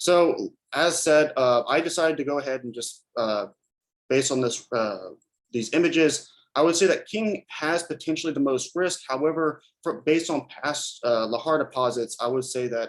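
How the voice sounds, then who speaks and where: This man's voice sits fairly high, and its pitch varies in an ordinary way. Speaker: student researcher presenting. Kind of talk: research presentation. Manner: fast; hesitant, many fillers.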